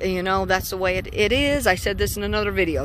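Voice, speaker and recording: A woman speaks with ordinary pitch variation. The sound is dry with no echo, and there is light background noise. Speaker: solo road trip vlogger. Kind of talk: casual vlog chat. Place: street. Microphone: phone near.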